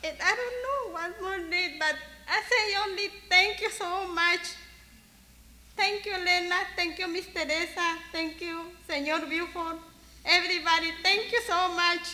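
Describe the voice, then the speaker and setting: An extremely high-pitched woman's voice, bright and sharp, raised and projected, at a fairly slow pace with ordinary pitch variation. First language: Spanish. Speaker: worker speaking at memorial. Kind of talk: eulogy. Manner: halting.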